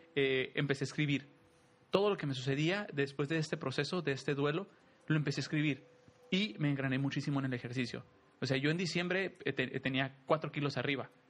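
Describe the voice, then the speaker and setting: With ordinary pitch variation, an unremarkable speaking voice talks rather quickly. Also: man, fairly high pitch for a man. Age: 30s. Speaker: podcast co-host. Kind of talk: casual chat.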